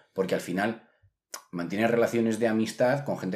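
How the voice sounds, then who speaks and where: A man speaks with ordinary pitch variation. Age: 20s. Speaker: podcast co-host. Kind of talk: casual chat.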